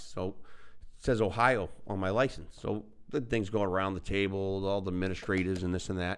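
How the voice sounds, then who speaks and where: Fairly low in pitch, a man with an American accent speaks at a moderate pace with ordinary pitch variation. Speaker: podcast co-host. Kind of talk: casual chat.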